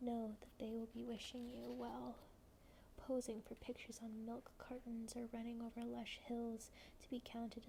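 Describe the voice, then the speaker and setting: Soft-spoken, a woman talks at a fairly high pitch. Her tone is dark and mellow. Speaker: ASMR creator and poetry reader. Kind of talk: poem reading, slow and measured. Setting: home, candlelit, with tea. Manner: soft-spoken, cozy.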